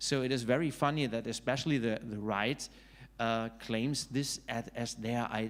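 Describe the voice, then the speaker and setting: The speaker has a German accent and talks at a moderate pace with fairly even intonation. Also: man. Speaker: author and political scientist. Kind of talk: panel discussion. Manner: halting, many fillers.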